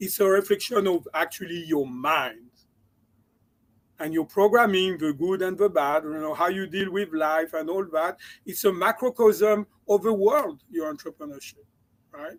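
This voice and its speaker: A man with a slight French accent and a high pitch, ordinary pitch variation and a moderate pace. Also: dry, close sound with no echo. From France. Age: 60s. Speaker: entrepreneur and mindset coach. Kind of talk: interview.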